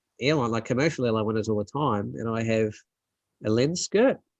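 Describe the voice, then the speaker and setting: Against a quiet background, a man with an Australian accent speaks with ordinary pitch variation. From South Australia. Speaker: landscape photographer. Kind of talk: casual chat. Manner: hesitant, many fillers.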